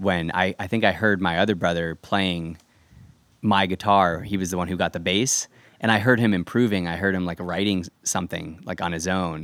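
A man with an American accent talks at a moderate pace in a very deep, low pitch with fairly even intonation. The recording is very clean with a silent background. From Orange County, California (Irvine). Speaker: rock guitarist. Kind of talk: casual interview. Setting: backyard.

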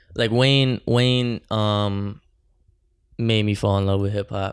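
A man with a New Jersey accent speaks at a fairly slow pace in a fairly low pitch and a flat, monotone delivery, on a very clean recording with a silent background. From New Jersey, Bergen County. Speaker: rapper. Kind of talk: casual chat. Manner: casual slangy speech with many fillers.

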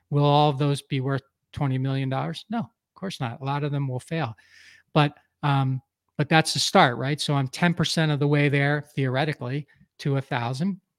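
Using a normal speaking voice, a man talks at a moderate pace with fairly high pitch and fairly even intonation, in a very clean recording with a silent background and a dry, close sound with no echo. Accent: American. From US Northeast, Philadelphia area. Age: 50s. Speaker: entrepreneur and business coach. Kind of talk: podcast interview.

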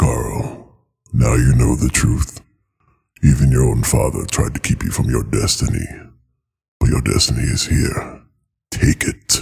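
Putting on a character voice, a man speaks at a very deep, low pitch and a moderate pace, with long, frequent pauses. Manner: ominous.

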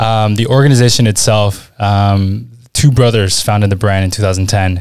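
Fairly even intonation and a fairly low pitch shape a man's speech in a plain, everyday voice. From Washington DC area, born in Peru. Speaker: e-commerce brand manager. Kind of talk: casual interview. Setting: in person at a conference.

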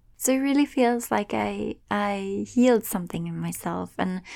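In a very clean recording with a silent background, a woman with a slight Swedish accent speaks at a fairly slow pace. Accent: light Swedish-accented English. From Sweden. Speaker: podcast host and meditation guide. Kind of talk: casual solo podcast monologue.

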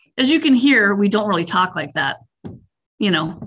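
A woman with a Minnesota accent speaks in a fairly high voice with a bright, sharp tone. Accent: Upper Midwest (Minnesota). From central Minnesota. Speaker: utility fleet manager. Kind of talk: interview.

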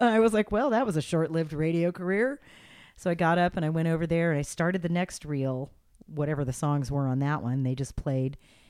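Her voice is unremarkable and fairly low in pitch, and the woman talks at a fairly quick pace with lively intonation. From Los Angeles, California. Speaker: radio host. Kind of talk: casual interview chat. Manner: friendly, conversational.

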